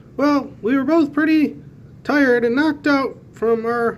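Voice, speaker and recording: A put-on character voice speaks high-pitched at a moderate pace. Background noise is clearly audible. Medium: read story. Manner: chipper.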